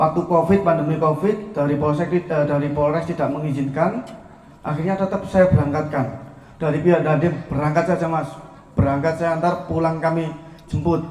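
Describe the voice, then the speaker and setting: Amid noticeable background noise and audible room echo, a man speaks at a fairly quick pace in a fairly high pitch. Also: fairly even intonation. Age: 20s. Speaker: entrepreneur, volleyball coach. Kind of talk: speech to an audience. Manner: informal, with fillers.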